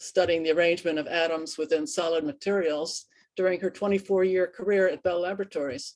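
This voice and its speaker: Speaking with an American accent, a woman has a fairly low pitch. Her pitch variation is ordinary. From New Jersey. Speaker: lecturer. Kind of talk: lecture. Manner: halting.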